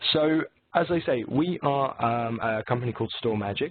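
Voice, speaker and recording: A man's voice amid noticeable background noise. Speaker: technical presenter for a software company. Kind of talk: webinar presentation. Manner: relaxed, casual.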